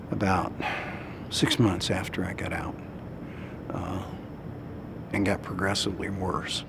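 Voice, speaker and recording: Over noticeable background noise and audible room echo, a man with an American accent speaks in a very deep, low pitch with long, frequent pauses. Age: 60s. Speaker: war veteran. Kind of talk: testimony. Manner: halting, many fillers.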